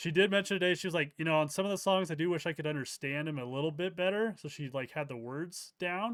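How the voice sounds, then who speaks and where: Mumbling at a very fast pace, a man speaks at a fairly high pitch with ordinary pitch variation. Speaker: crypto YouTuber. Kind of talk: interview. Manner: halting.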